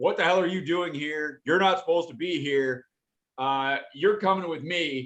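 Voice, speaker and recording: Putting on a gruff character voice, a man speaks at a moderate pace with a fairly high pitch. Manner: gruff, confrontational.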